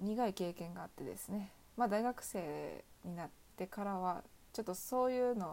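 With a Kansai accent, the voice has a dark, mellow tone and ordinary pitch variation at a moderate pace. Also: woman, medium pitch for a woman. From Osaka, Kansai. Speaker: student podcaster. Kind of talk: solo casual talk. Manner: halting.

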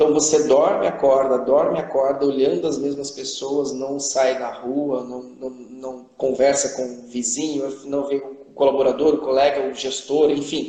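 Over noticeable background noise and audible room echo, a man with a fairly high pitch speaks at a fairly slow pace in a monotone, flat intonation with hardly any pauses. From Brazil, Ribeirão Preto (São Paulo state). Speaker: leadership specialist, engineer. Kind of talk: live-stream interview. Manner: halting, many fillers.

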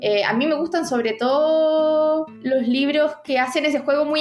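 A woman is speaking. She has a Chilean accent. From Chile, Santiago. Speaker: author and university teacher. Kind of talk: interview about writing craft. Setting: podcast recording.

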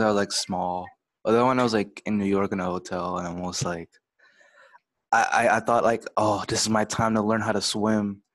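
The voice belongs to a man and sits at a fairly low pitch. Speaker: student club podcast host. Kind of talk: casual chat. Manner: animated.

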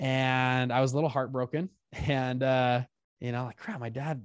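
A man with an American accent speaks at a medium pitch. The recording is very clean and silent behind him, with a dry, close sound and no echo. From Utah, US. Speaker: investment fund founder and business coach. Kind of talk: podcast interview. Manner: animated.

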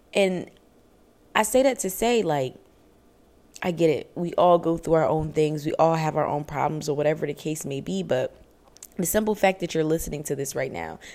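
A woman's very deep, low voice, dark and mellow with vocal fry, lively intonation and long, frequent pauses. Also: moderate pace. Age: 20s. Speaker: self-improvement podcaster. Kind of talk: solo podcast monologue. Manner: casual, conversational.

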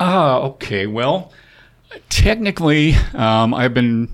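Speaking with a slight Canadian accent, a man of medium pitch uses lively intonation. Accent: slight Canadian accent on certain words. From Wyoming, with early childhood in Canada. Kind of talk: casual interview. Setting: studio. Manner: hesitant with fillers.

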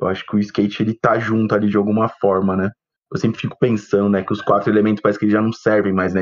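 A man speaks very fast in a fairly low voice, his intonation monotone and flat. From São Paulo, Brazil. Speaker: photographer, co-host. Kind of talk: casual chat.

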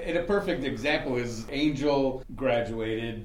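Noticeable background noise and audible room echo accompany a man with an American accent who speaks fairly slowly at a medium pitch. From Chicago. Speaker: student graduating from a blindness program. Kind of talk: casual group chat.

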